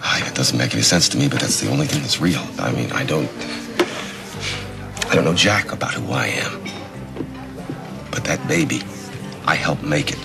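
A man talks with ordinary pitch variation while clear music sounds in the background. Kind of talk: scripted drama dialogue. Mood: quiet, troubled, hesitant. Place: stage.

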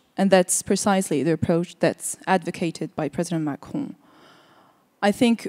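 A woman speaks at a medium pitch with a dark, mellow tone and ordinary pitch variation. The background is quiet. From France. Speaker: politician. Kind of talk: panel discussion. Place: hall. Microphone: handheld.

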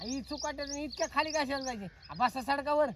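A put-on, whiny character voice at a high pitch and moderate pace plays over clear background noise. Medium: comedy sketch. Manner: whining, pleading.

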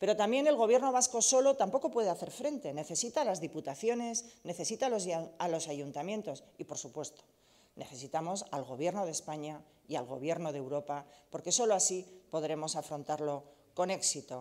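At a fairly quick pace, a woman speaks with a dark, mellow tone, a fairly low pitch and very wide pitch swings. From Basque Country, Bilbao (Deusto); Basque Country. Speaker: politician, party leader and candidate; politician, candidate. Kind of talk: campaign speech. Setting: press event.

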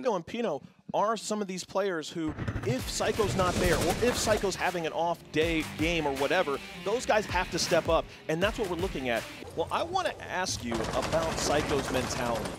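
With music playing in the background, a man speaks at a moderate pace in a high pitch with lively intonation. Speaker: esports commentator (caster). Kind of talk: esports match commentary.

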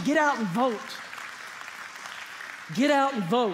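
A man talks at a fairly quick pace. Faint crowd noise sits in the background.

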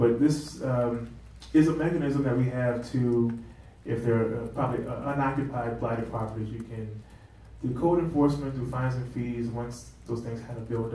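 This man has a New Orleans accent and keeps a moderate pace with fairly even intonation. Audible room echo surrounds his voice. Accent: New Orleans Southern US. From US South. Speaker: political candidate; candidate. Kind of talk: candidates' forum. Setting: stage with audience. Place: meeting room. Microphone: camera far.

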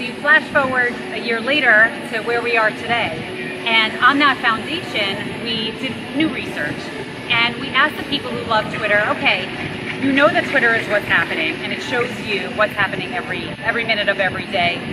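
Loud background noise sits under fairly quick speech with ordinary pitch variation. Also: woman. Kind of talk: interview answer. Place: street.

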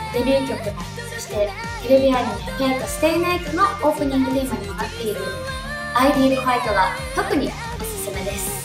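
Clear music in the background and audible room echo surround a woman talking at a very fast pace. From Hokkaido, Japan. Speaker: singer. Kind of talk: promotional comment to fans. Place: studio.

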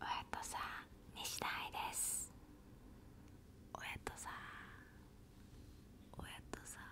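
The speaker, a woman, is whispering. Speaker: ASMR channel host. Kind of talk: soft casual vlog chat. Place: home room. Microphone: studio mic.

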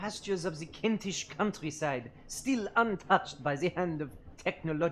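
Nothing more than plain reading aloud.

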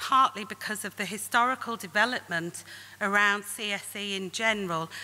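A woman's bright, sharp voice at a moderate pace, with fairly even intonation. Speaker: conference presenter. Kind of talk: lecture. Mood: serious, earnest. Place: hall. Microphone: podium.

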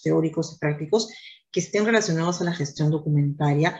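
A woman with a fairly low, dark, mellow voice that is somewhat breathy speaks at a fairly quick pace with ordinary pitch variation. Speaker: online course instructor. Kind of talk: lecture. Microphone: webcam.

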